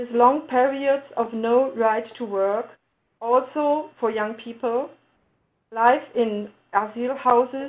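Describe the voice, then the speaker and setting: A woman with a German accent, fairly high in pitch, at a fairly slow pace with fairly even intonation, against a quiet background. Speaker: municipal integration official. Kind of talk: webinar presentation. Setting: webinar. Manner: halting.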